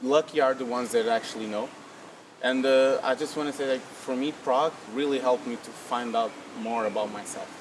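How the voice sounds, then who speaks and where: Noticeable background noise under a man's medium-pitched voice, fairly even intonation and a fairly quick pace. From Portugal, family from Angola. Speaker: copywriter. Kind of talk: interview.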